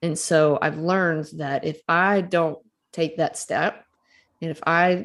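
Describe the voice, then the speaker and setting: Speaking in a Southern US accent over a quiet background, a woman has a very deep, low pitch with ordinary pitch variation. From Mississippi, US South. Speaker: author and storytelling coach. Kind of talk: casual interview.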